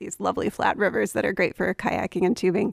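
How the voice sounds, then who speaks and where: At a medium pitch and with fairly even intonation, a woman speaks in an ordinary speaking voice, the recording very clean with a silent background and the sound dry and close with no echo. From Appalachian Virginia. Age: 30s. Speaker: novelist and English professor. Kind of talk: interview. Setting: radio studio.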